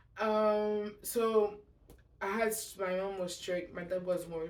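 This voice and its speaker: A woman at a very slow pace, fairly even intonation, with audible room echo. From Montreal, Quebec. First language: French. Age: 20s. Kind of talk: testimony. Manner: halting; casual.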